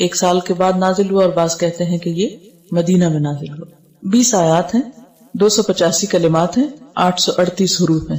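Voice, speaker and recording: A woman's fairly low voice, an ordinary speaking voice with ordinary pitch variation. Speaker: Islamic scholar giving a lecture. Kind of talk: Quran lecture (tafsir-style bayan).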